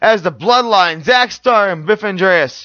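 An excited man with a high pitch projects a raised voice with a bright, sharp tone. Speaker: wrestling commentator. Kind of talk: wrestling match commentary. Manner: fast, excited.

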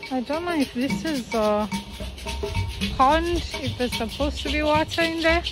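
Over clear music in the background, a woman talks at a moderate pace with long, frequent pauses, her dry sound carrying no echo. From Zambia. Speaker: travel vlogger. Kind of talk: casual travel vlog talk to camera. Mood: curious, uncertain. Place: garden. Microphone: phone near.

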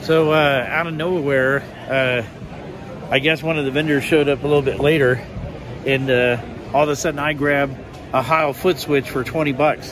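Over music in the background, a man talks at a moderate pace in a monotone, flat intonation with long, frequent pauses and a dry sound with no echo. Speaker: amateur radio hobbyist. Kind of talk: casual vlog chat. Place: hall. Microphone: phone near.

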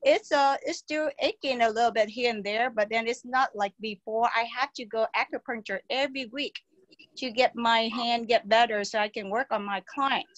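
The sound is dry and close with no echo as a woman speaks at a moderate pace and fairly high pitch. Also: fairly even intonation.

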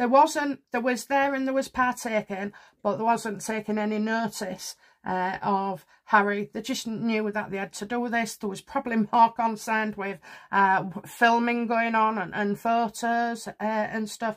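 Against a quiet background, a woman speaks at a fairly slow pace with fairly even intonation. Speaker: tarot reader. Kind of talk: casual commentary. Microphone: phone near.

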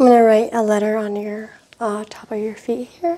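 Soft-spoken, a woman uses a fairly high pitch and a dark, mellow tone with fairly even intonation. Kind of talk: ASMR medical exam roleplay, soft spoken. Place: home room. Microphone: lapel.

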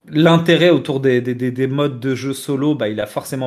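Against a quiet background, a man talks in an ordinary speaking voice. His pace is moderate and his pitch variation ordinary. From Tunisian heritage, France. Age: 30s. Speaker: video game commentator. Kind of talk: casual debate. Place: home room. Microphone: headset.

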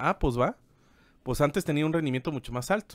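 Recorded with a dry sound and no echo, a man talks at a fairly high pitch with ordinary pitch variation. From Mexico. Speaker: business podcast co-host and teacher; podcast co-host. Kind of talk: casual explanatory chat. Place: office. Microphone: studio mic.

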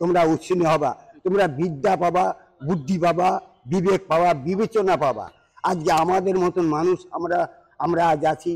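A man's high-pitched voice with fairly even intonation and very even loudness against a quiet background. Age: 60s. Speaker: hermit ascetic. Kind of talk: interview. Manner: halting. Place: open country.

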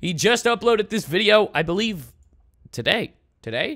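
With music in the background, a man talks at a fairly quick pace in a raised, projected voice. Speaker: reaction video host. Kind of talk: casual reaction commentary.

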